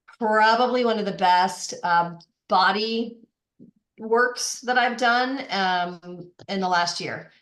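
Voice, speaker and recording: A woman with an American accent at a very slow pace, with long, frequent pauses and audible room echo. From Boston. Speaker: life coach. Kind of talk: casual chat. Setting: podcast.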